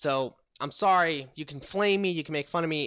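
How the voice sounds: Speaking at a fairly quick pace, a man uses a fairly high pitch, a fairly bright tone and ordinary pitch variation.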